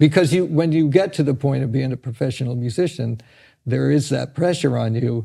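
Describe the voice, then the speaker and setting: This somewhat breathy voice has a dark, mellow tone and moves at a moderate pace. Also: man. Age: 70s. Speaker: drummer. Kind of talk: casual chat. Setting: studio. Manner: halting.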